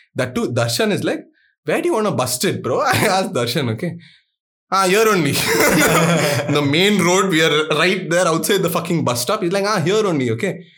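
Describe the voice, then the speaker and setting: Animated and at a moderate pace, a man with an Indian accent talks in a high pitch with lively intonation and very even loudness. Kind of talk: casual chat.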